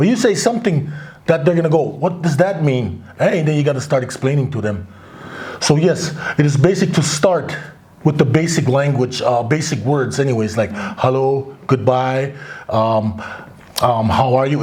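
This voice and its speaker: A man with a fairly high pitch talks at a moderate pace and ordinary pitch variation. Noticeable background noise and audible room echo fill the recording. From Crow reservation, Montana, US. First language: Crow (Apsaalooke). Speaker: author. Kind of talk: interview. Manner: hesitant, many fillers.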